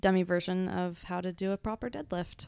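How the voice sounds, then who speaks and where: The recording is very clean, with a silent background. A woman talks at a moderate pace in an unremarkable speaking voice of medium pitch. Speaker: podcast co-host. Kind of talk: casual chat.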